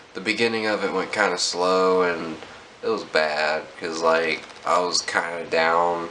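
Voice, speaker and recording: Soft-spoken and at a fairly slow pace, the voice keeps a fairly even intonation, with audible room echo and noticeable background noise. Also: man. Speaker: vlogger. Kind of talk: casual vlog update. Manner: quiet, talking softly.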